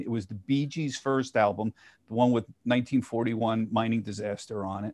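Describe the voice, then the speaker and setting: A plain, everyday voice with an American accent speaks in a fairly even intonation against a quiet background. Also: man. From Philadelphia, US. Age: 60s. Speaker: financial TV journalist. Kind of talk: casual interview.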